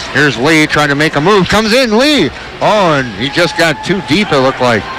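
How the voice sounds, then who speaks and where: A man speaks at a fairly quick pace with ordinary pitch variation. The sound is dry with no echo, and there is noticeable background noise. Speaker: radio play-by-play announcer. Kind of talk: live hockey play-by-play commentary. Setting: arena broadcast for radio. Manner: rapid-fire, fluent, clipped play description. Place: stadium.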